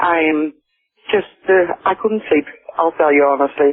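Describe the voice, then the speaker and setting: The speaker is a woman. She talks with a Dutch accent. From Netherlands. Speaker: caller. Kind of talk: phone call to radio show. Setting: phone call. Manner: hesitant.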